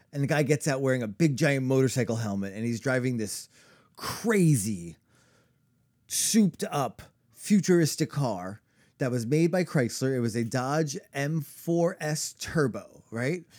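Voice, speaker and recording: An unremarkable speaking voice belongs to a man with an American accent, medium pitch and lively intonation. The recording is very clean, the background silent. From New York. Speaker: podcast co-host. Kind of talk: storytelling; casual chat.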